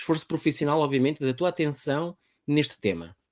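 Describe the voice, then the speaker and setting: A man talks at a fairly quick pace. His intonation is fairly even, and the sound is dry and close with no echo. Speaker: podcast host, public speaking trainer. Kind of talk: casual interview via live stream. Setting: live online video stream.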